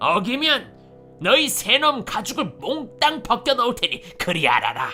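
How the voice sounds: A man puts on a character voice with an extremely high pitch. He speaks at a fairly slow pace over clear background music.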